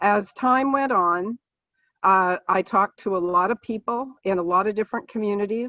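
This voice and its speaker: A woman in a plain, everyday voice talks at a moderate pace, with medium pitch and ordinary pitch variation. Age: 60s. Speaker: political candidate, nurse. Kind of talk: candidate forum opening statement. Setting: video call.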